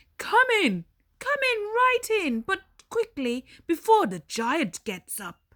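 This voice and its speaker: In a put-on character voice, a female-sounding speaker talks fairly slowly at an extremely high pitch. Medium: read story.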